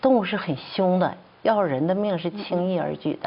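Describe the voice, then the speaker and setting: Pitch varies in an ordinary way as the speech unfolds at a fairly slow pace. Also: woman. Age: 60s. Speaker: traditional Chinese medicine doctor and professor. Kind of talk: testimony. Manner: halting, many fillers.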